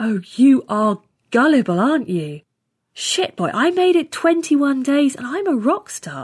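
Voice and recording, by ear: Doing a put-on character voice, a woman speaks at a fairly slow pace with a high pitch, big pitch swings and a slightly husky edge, on a very clean recording with a silent background.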